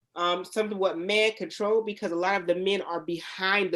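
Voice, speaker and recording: In an American accent, a woman speaks with a normal speaking voice at medium pitch, keeping fairly even intonation and a moderate pace. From Youngstown, Ohio. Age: 30s. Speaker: nail salon owner. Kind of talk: panel discussion. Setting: studio.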